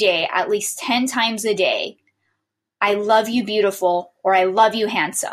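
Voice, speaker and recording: With a warm, upbeat tone, a woman talks at a fairly high pitch and a fairly slow pace. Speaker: podcast host and motivational speaker. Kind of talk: pep talk, motivational monologue. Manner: upbeat, animated, encouraging; direct, warm, urgent, addressing listener.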